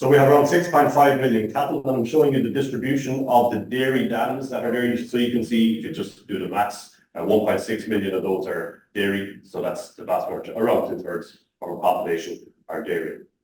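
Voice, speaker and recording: A man with a strong Irish accent at a medium pitch, fairly quick and with hardly any pauses, ordinary pitch variation and audible room echo. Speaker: animal genetics researcher. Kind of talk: conference talk.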